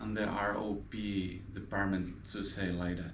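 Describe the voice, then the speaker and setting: A man with a Spanish accent, with audible room echo. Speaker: eye care assistant. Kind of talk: explanatory interview. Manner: halting.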